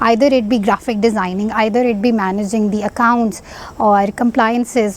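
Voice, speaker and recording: A woman at a fairly high pitch and moderate pace, with noticeable background noise. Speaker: social entrepreneur. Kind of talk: talk. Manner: halting.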